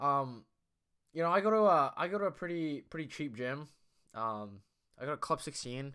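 Lively intonation and a bright, sharp tone at a moderate pace, in a very clean recording with a silent background. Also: man. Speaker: podcast host. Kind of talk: casual solo monologue. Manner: rambling, filler-heavy, self-deprecating; loud.

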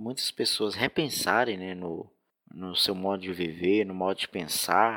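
At a fairly slow pace, the voice comes through on a very clean recording with a silent background and a dry, close sound with no echo. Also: man. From Minas Gerais, Brazil. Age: 20s. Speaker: hotel receptionist and motorcycle courier. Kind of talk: recorded personal testimony. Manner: halting, many fillers.

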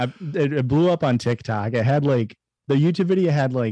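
The man's tone is dark and mellow, and the sound is dry and close with no echo. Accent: Midwestern American. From central Illinois, US Midwest. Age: 20s. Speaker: podcast co-host. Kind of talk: casual chat.

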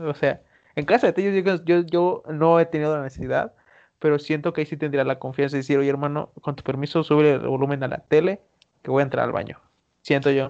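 This man has a fairly high pitch and an unremarkable speaking voice. He talks at a fairly quick pace with fairly even intonation. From Mexico, Veracruz. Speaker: podcast co-host. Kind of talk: casual chat.

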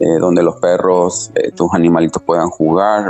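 Noticeable background noise is present. Over it, a man talks in a very deep, low pitch. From Chile. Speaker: dancer and choreographer. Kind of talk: interview. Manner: hesitant, many fillers.

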